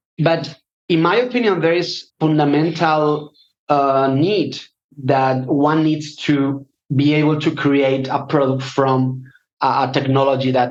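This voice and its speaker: A man with a Spanish accent talks at a fairly slow pace in a fairly high voice. His loudness stays very even and his intonation fairly even. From Spain. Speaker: data scientist. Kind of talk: interview. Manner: halting.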